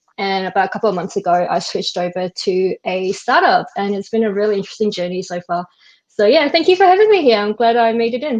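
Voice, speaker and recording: In an Australian accent, a woman talks at a very fast pace with lively intonation and a medium pitch. The background is quiet. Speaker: web developer. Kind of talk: casual chat.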